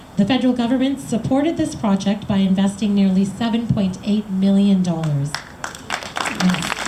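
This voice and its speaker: A woman speaks at a medium pitch and a moderate pace with lively intonation and very even loudness, with audible room echo and crowd noise in the background. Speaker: member of parliament. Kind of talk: public speech.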